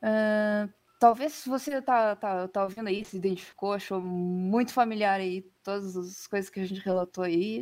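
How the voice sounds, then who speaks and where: A woman at medium pitch, moderate pace and ordinary pitch variation. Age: 20s. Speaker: editor-in-chief. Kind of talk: casual interview chat. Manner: halting.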